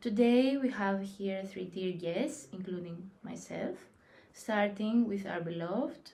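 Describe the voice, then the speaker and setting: Audible room echo surrounds a woman speaking at a medium pitch and a fairly slow pace with ordinary pitch variation. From Greece. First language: Greek. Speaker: discussion moderator. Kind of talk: casual discussion.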